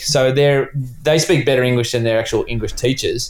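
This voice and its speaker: A man speaks with an Australian accent at a fairly high pitch. His pace is fairly quick. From Australia, Sydney. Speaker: cycling sporting director. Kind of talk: casual interview. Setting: remote call from bedroom.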